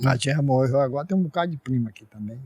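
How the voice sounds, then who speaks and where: A man speaks at a moderate pace and medium pitch, his tone dark, mellow and somewhat breathy with lively intonation. The sound is dry and close, with no echo. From Ceará, Brazil. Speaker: elderly pioneer resident. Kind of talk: interview.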